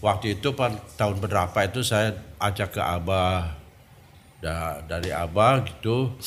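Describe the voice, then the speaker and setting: Audible room echo carries a man's somewhat breathy, very deep voice as he speaks fairly slowly with ordinary pitch variation and long, frequent pauses. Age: 70s. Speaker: Sufi order elder. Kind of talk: interview testimony.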